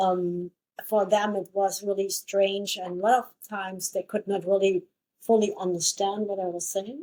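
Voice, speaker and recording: Her tone is dark and mellow. A woman with a German accent speaks in a monotone, flat intonation. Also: medium pitch for a woman, moderate pace. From Germany. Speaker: podcast co-host. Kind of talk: casual chat.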